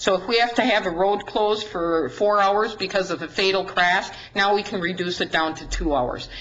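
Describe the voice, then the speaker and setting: A woman with a Wisconsin accent and ordinary pitch variation, over noticeable background noise and audible room echo. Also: medium pitch for a woman. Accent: Upper Midwest (Wisconsin). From Wisconsin, Dodge County. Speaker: county sheriff. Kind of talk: presentation to a city council. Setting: council meeting at a podium. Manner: fast.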